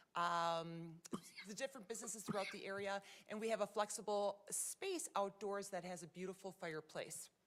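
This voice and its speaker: Her pitch moves an ordinary amount as a woman talks in a fairly high register. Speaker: nonprofit program presenter. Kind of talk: presentation to city council. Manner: fast; animated.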